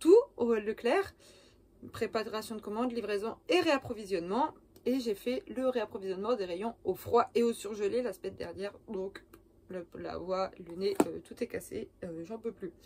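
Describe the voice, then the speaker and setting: A woman speaks with a fairly high pitch and a dark, mellow tone. Her pace is fairly slow. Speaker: cosplay youtuber. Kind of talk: casual vlog. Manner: hesitant, many fillers.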